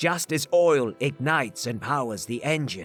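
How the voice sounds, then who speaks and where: Putting on a character voice, a man speaks at a fairly slow pace and fairly high pitch, with faint music in the background. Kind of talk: religious sermon. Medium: read story. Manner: grandiose, preaching.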